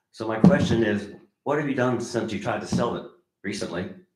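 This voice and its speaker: Delivered at a fairly quick pace with lively intonation, the speech carries audible room echo. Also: man. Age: 70s. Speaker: public commenter at town meeting. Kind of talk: public comment. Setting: town council meeting. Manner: animated.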